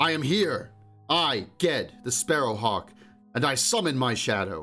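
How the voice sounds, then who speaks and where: Shouting in a put-on character voice, a man speaks at medium pitch and a moderate pace. Faint music plays in the background. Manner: shouting, defiant.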